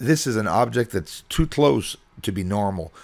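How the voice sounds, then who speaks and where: Fairly low in pitch, a man talks in an ordinary speaking voice. His pace is moderate and his intonation lively. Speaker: amateur astronomer and video creator. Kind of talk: panel presentation narrating footage. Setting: press conference.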